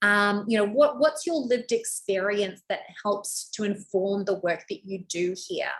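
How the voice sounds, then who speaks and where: At a moderate pace, a woman speaks with lively intonation in a fairly high, somewhat breathy voice. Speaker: brand coach. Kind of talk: website review tutorial. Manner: high energy.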